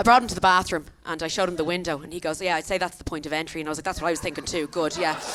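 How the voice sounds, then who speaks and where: A woman with an Irish accent, animated tone, fairly low pitch and very fast pace, amid noticeable background noise. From Ireland. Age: 30s. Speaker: comedian. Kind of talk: stand-up. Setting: stage with audience.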